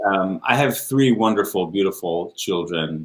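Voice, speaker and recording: Speaking at a fairly slow pace, a man with a slight Israeli accent uses a fairly low pitch and lively intonation. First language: Hebrew. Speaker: orchestral trombonist. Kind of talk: interview. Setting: live stream.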